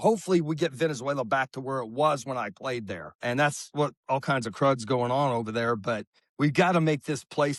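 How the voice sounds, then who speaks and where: A man with an American accent and a plain, everyday voice speaks at a medium pitch and a fairly quick pace, with ordinary pitch variation. The sound is dry and close with no echo, over a quiet background. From Oklahoma. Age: 60s. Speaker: baseball coach and former player. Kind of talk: interview.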